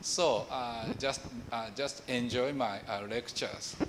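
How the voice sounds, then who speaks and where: There is audible room echo as a man speaks very slowly. He has a Japanese accent. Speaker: professor. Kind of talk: lecture. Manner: halting.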